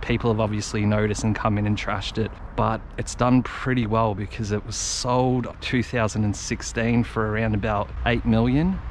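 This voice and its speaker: Speaking at a moderate pace, a man comes through in a dry sound with no echo and light background noise. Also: hardly any pauses. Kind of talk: casual vlog commentary. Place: garden. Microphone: camera far.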